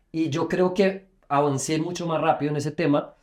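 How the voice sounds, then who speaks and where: Moderately paced speech from a man, fairly high in pitch. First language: Portuguese (speaking Spanish). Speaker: podcast host, sports journalist. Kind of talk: interview.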